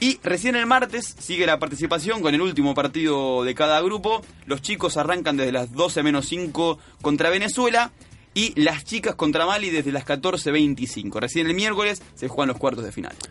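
In an unremarkable speaking voice, a man talks at a moderate pace with a fairly high pitch and lively intonation. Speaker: sports radio co-host. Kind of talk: sports news roundup.

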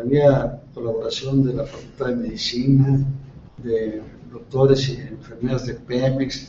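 A man speaks fairly slowly in a medium pitch while noticeable background noise carries on. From Mexico, Tamaulipas. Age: 70s. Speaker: retired oil worker and local official for seniors. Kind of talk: interview.

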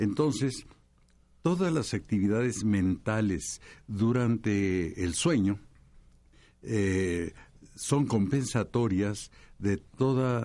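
In a dark, mellow tone and a fairly low pitch, a man speaks very slowly with long, frequent pauses, ordinary pitch variation and very even loudness. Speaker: astrologer and physician. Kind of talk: panel discussion.

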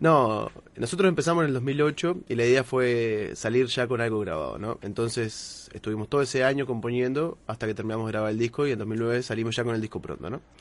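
A man speaks at a fairly quick pace with hardly any pauses, in a medium pitch with ordinary pitch variation. Noticeable background noise runs under his voice. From Uruguay, Minas. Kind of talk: casual chat.

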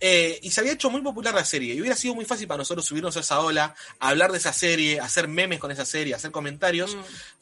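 A man's high, bright, sharp voice with an Argentine accent, very fast, lively in intonation and with hardly any pauses. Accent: Argentine Spanish (Rioplatense). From Argentina. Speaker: anime content creator. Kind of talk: casual chat.

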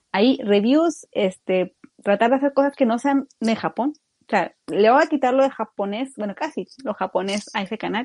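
In a plain, everyday voice, a woman speaks at a moderate pace with a fairly high pitch and lively intonation. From Mexico, Torreón. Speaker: youtuber. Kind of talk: casual chat.

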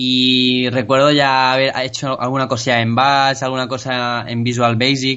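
A man's voice at a medium pitch, fairly slow in pace with hardly any pauses and a monotone, flat intonation. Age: 20s. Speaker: programming student. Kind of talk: casual interview chat. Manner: halting, many repetitions.

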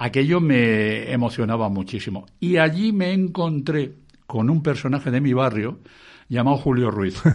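A man with a Madrid accent speaks at a fairly slow pace. His medium-pitched voice has lively intonation. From Spain, Madrid. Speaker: music radio broadcaster. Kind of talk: interview.

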